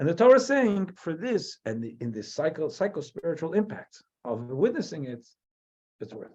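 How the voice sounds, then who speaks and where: A man with a New Jersey accent and a high pitch speaks at a moderate pace, with very wide pitch swings and big swings in loudness. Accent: New Jersey American. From US, New Jersey. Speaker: rabbi. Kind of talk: lecture. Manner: halting.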